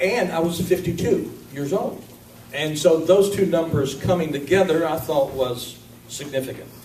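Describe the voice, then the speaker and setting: A man's voice, high-pitched for a man with ordinary pitch variation, amid noticeable background noise and audible room echo. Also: moderate pace. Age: 50s. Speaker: minister. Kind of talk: sermon. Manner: casual, conversational.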